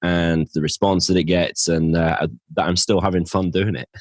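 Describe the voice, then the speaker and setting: In a very deep, low voice, a man speaks with flat, monotone intonation. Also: dry, close sound with no echo. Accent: northern English. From northern England. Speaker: financial planner and podcaster. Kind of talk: interview.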